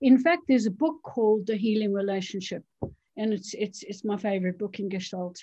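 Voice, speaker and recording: A woman speaks in a medium pitch with a dark, mellow tone. Her voice is somewhat breathy, with ordinary pitch variation. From South Africa. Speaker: doctor and trauma therapist. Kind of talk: interview.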